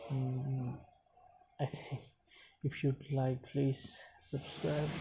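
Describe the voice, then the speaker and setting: Speaking very slowly with a non-native accent, a man uses a medium-pitched, dark, mellow voice that is somewhat breathy and fairly even in intonation. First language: not English. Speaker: YouTube reviewer. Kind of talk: recap narration; casual outro. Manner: halting, many fillers.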